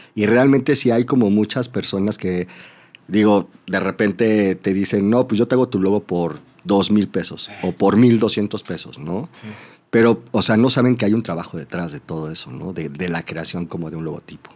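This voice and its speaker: A man speaks in a Mexico City accent. The recording is very clean, with a silent background. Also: fairly low pitch for a man, ordinary pitch variation, moderate pace. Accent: Mexican Spanish (Mexico City). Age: 30s. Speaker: advertising creative. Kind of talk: casual interview chat. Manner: halting, repeats words.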